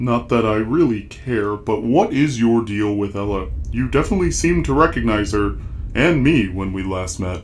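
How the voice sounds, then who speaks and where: Over clear background noise, a man delivers a put-on character voice at a moderate pace and fairly low pitch. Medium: machinima. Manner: deadpan, terse.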